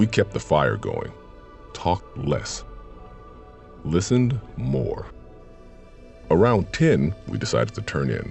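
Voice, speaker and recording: The background carries music. A man's speech unfolds at a fairly slow pace. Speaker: voice actor. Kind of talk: horror story narration. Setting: studio.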